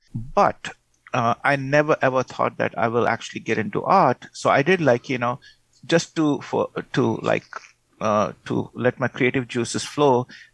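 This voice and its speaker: Against a quiet background, a man with vocal fry speaks at a medium pitch and a fairly slow pace. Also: ordinary pitch variation, dry, close sound with no echo. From India, Pune. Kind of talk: radio interview. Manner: halting, repeats words.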